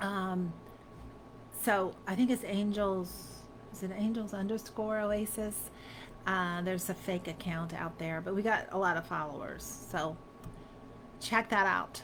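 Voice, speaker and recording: With an American accent, a woman of medium pitch speaks at a fairly slow pace with fairly even intonation and long, frequent pauses. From Africa, then US South. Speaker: spiritual teacher and crystal seller. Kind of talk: live stream Q&A. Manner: casual, chatty.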